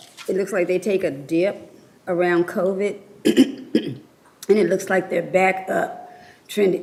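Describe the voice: Using a put-on character voice, a woman speaks at a medium pitch and a fairly slow pace, sounding hoarse, croaky and raspy.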